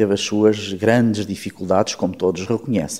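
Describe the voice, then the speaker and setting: A man's dark, mellow, fairly low voice with fairly even intonation, on a very clean recording with a silent background. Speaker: politician and physician. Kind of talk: political interview. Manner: formal.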